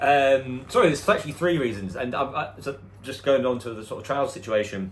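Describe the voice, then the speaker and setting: Audible room echo carries the medium-pitched voice of a man who speaks with ordinary pitch variation. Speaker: personal trainer. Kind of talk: personal vlog storytelling. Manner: occasional hesitations and repetitions.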